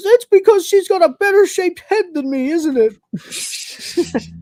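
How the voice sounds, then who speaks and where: A whiny, put-on character voice at an extremely high pitch and a fairly slow pace. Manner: whining, complaining.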